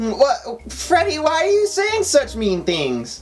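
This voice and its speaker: A cartoonish character voice at a fairly slow pace, with clear music in the background. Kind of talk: comedic puppet skit in a review. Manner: whiny, cartoonish. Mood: hurt, indignant.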